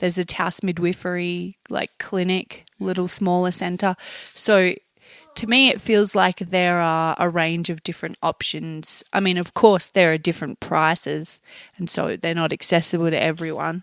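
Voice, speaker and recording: Recorded dry and close with no echo, a woman with an Australian accent speaks at a moderate pace and fairly low pitch, her intonation fairly even. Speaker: new mother. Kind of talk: podcast interview answer.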